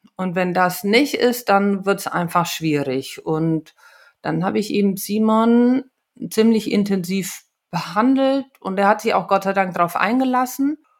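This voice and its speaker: A woman's medium-pitched voice with lively intonation at a fairly slow pace. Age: 40s. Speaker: osteopath. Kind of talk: personal storytelling. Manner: hesitant, with fillers.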